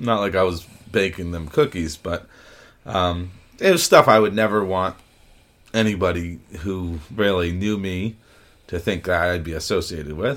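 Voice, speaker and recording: At a moderate pace, a man with a very deep, low voice and ordinary pitch variation speaks with long, frequent pauses. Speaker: podcast host. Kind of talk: casual chat.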